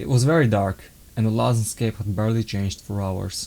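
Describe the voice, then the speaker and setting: At a fairly quick pace, a man with a non-native accent speaks in a dark, mellow tone at a fairly low pitch with ordinary pitch variation. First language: not English. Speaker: author reading own book. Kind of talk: reading aloud. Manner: halting.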